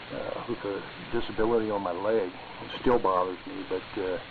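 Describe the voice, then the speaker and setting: A man is speaking. Background noise is noticeable. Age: 60s. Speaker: retired machinist, ham radio operator. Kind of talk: casual chat. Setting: amateur radio net. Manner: halting, many fillers.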